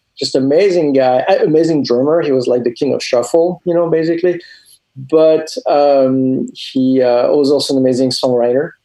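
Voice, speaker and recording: In a French accent, a man speaks with a fairly high pitch, ordinary pitch variation and very even loudness. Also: moderate pace. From France. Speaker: comic book artist and animator. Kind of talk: interview. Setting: video call.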